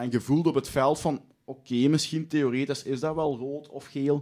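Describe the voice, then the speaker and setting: In a very clean recording with a silent background, a normal speaking voice moves at a moderate pace with fairly even intonation. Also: man. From Limburg, Belgium. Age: 20s. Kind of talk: casual chat.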